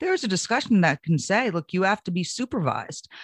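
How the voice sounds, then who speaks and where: Lively in intonation, a woman with a plain, everyday voice talks at a fairly quick pace and medium pitch. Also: dry, close sound with no echo. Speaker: Republican political consultant and commentator. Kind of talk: political roundtable discussion.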